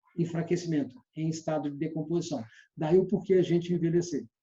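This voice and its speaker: A man speaks at a very fast pace. His tone is dark and mellow. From Minas Gerais, Brazil (Belo Horizonte). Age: 60s. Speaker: sales trainer. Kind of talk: lecture.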